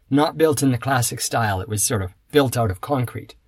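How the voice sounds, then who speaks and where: A man speaks with a Canadian accent and a somewhat breathy voice. The recording is very clean, with a silent background. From Canada. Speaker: podcast host. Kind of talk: scripted monologue for English learners.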